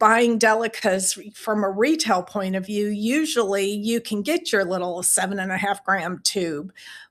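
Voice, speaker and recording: A woman with an unremarkable speaking voice talks at a fairly slow pace with hardly any pauses. Her pitch is medium, with ordinary pitch variation. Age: 60s. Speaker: beading teacher and small business owner. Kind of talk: solo podcast talk answering questions. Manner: conversational with fillers.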